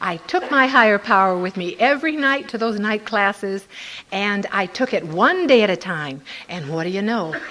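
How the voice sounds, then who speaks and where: A woman speaks at a medium pitch with lively intonation. Noticeable background noise sits behind her voice. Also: moderate pace. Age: old. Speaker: twelve-step recovery speaker. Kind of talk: testimony.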